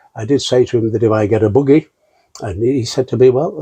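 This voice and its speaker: A man speaks at a very fast pace with a somewhat breathy, dark, mellow tone. His medium pitch shows ordinary pitch variation. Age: 70s. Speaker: patient. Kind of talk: testimony. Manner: halting.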